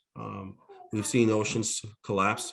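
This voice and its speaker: The speaker is a man. His delivery is moderate in pace. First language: Mi'kmaq. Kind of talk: opening reflection and welcome at a webinar. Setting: online webinar. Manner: halting, with many fillers.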